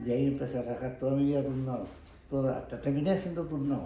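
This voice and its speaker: In a room with audible echo, a man speaks with fairly even intonation. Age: 80s+. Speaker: retired pottery factory worker. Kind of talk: oral history interview. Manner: halting, with false starts.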